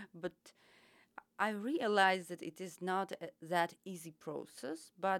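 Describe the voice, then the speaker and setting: Speaking at a very slow pace, a woman of medium pitch talks with a Ukrainian accent. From Ukraine. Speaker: travel agent and volunteer. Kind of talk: casual interview chat. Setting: studio. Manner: halting, searching for words.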